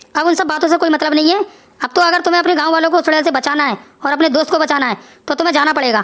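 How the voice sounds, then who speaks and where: A woman's cartoonish character voice, high-pitched and very fast. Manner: measured, grave.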